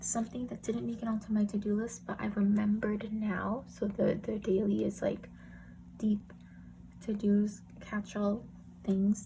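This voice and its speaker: The voice is soft-spoken at a moderate pace. Long, frequent pauses run throughout. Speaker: planner YouTuber. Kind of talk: casual tutorial. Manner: soft-spoken, talking quietly.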